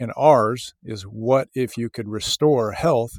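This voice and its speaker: A man with an American accent speaks at a fairly slow pace in a plain, everyday voice at medium pitch. The sound is dry and close with no echo, on a very clean recording with a silent background. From US South (Memphis, Tennessee). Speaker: biotech company CEO. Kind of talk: interview.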